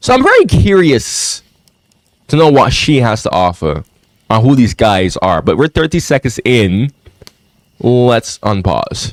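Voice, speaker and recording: Animated in tone, a man at a medium pitch uses very wide pitch swings and very even loudness, talking at a fairly slow pace with long, frequent pauses, in a dry, close sound with no echo. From outside US. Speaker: YouTube commentator. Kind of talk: reaction commentary. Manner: animated, repetitive.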